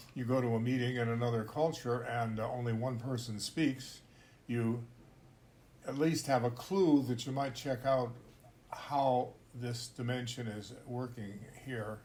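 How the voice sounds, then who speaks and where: Speaking with an American accent, a man sounds somewhat breathy with fairly even intonation and long, frequent pauses, amid audible room echo. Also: medium pitch for a man, fairly slow pace. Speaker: podcast host, intercultural trainer. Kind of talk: casual discussion.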